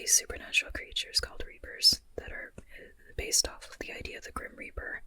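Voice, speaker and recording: Over noticeable background noise, the words are whispered at a very fast pace. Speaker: ASMR creator and writer. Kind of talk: ASMR whispered chatty talk to camera. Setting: low-budget, as if lying in bed talking. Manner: whispering, chatty, rambling.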